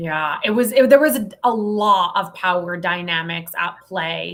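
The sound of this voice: A woman speaks slowly at a fairly low pitch with ordinary pitch variation. Her tone is fairly bright.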